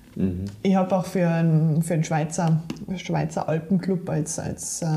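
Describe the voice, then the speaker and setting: Her voice is fairly low and somewhat breathy, with a dark, mellow tone and fairly even intonation. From Germany, Saarland. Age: 40s. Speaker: trail runner and sports scientist. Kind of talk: interview.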